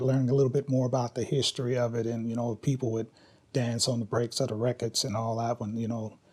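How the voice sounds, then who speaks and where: A dark, mellow, somewhat breathy voice with monotone, flat intonation. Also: man. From Kentucky, Louisville. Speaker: hip hop dance teacher. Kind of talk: interview. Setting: filmed interview. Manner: casual.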